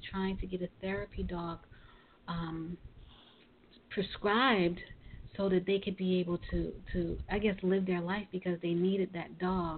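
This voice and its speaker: A woman's medium-pitched, fairly slow voice with an American accent and monotone, flat intonation. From Brooklyn, New York. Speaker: podcast host. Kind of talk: interview; show closing remarks.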